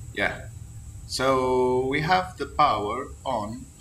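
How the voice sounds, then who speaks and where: Marked by vocal fry and a bright, sharp tone, a man with a non-native accent speaks amid audible room echo. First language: not English. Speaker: flight sim gamer. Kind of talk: tutorial. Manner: halting.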